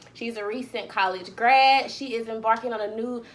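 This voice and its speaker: A woman has an ordinary speaking voice at a fairly high pitch. She keeps a moderate pace with fairly even intonation. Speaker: author and podcaster. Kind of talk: podcast interview.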